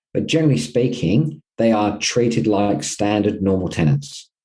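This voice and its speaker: In an Australian accent, a man speaks with a fairly low pitch and a dark, mellow tone. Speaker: property management company co-founder. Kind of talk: interview.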